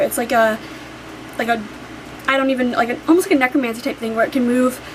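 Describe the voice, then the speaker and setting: A woman speaks over noticeable background noise. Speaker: book vlogger. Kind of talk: casual vlog talk. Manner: animated; fast.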